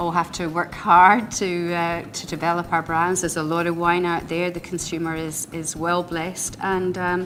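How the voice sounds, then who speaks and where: Fairly low pitch from a woman at a moderate pace, her intonation flat and monotone, with noticeable background noise. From Scotland. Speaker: winery owner. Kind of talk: interview. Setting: wine trade event.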